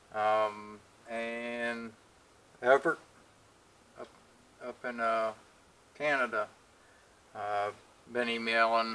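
A man's bright, sharp tone, monotone and flat in intonation, broken by long, frequent pauses. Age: 50s. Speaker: machinist and video creator; video creator. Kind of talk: casual vlog update. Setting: home workshop. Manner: halting, many fillers. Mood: relaxed, thankful.

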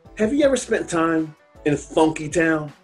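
A man speaking at a fairly slow pace, with ordinary pitch variation and faint music in the background. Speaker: motivational speaker. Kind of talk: motivational speech to camera. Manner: upbeat, energetic, direct. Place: home room.

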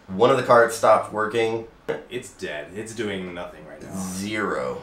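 A man's voice with big swings in loudness, audible room echo and light background noise. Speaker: vlog host. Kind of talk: casual vlog chat. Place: studio.

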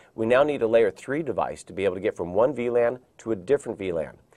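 A man speaks at a moderate pace, the background quiet. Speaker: IT training instructor. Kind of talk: lecture. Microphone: lapel.

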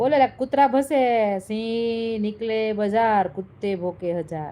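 Here is an ordinary speaking voice. The intonation is lively. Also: woman. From Gujarat, Saurashtra (Junagadh). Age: 40s. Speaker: live streamer. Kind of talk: live stream chat reading comments. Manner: angry, scolding.

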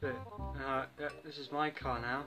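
A man speaks while clear music plays in the background. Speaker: gamer. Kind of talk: gaming commentary. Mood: frustrated, joking. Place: home room.

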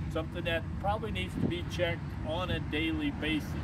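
A man talking at a fairly quick pace with ordinary pitch variation against loud background noise. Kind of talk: tutorial. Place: street. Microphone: camera far.

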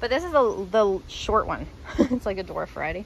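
Vocal fry paired with ordinary pitch variation. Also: woman. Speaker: home gardener. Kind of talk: casual garden tour talk to camera. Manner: casual, hesitant, many fillers.

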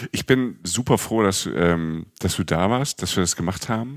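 A man's very deep, low voice at a fairly slow pace, with ordinary pitch variation, on a very clean recording with a silent background. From Palatinate, Germany. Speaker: travel podcast co-host and journalist. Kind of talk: casual chat.

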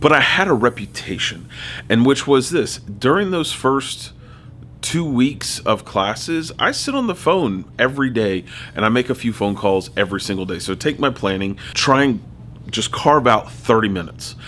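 A man talks at a moderate pace in a bright, sharp tone. Light background noise sits behind him. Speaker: teacher. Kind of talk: tutorial. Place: home room.

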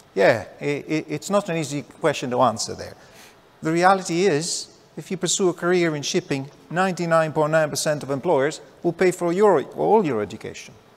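With an Italian accent, a man talks at a fairly high pitch and ordinary pitch variation. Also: moderate pace. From southern Italy. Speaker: maritime employers' association chief executive, former seafarer; panellist. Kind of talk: panel discussion; panel discussion answer. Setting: stage with audience. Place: stage. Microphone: lapel.

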